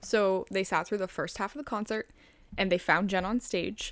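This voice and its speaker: A woman's medium-pitched voice with vocal fry, on a very clean recording with a silent background. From Chicago, US. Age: 20s. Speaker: true crime podcast co-host. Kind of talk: casual storytelling of a crime case.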